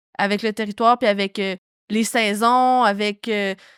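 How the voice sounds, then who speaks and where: At a moderate pace, a normal speaking voice comes through in a dry, close sound with no echo and a very clean recording with a silent background. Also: woman. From Quebec, Lebel-sur-Quévillon (James Bay region). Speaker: podcast co-host and artist. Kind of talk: casual podcast chat.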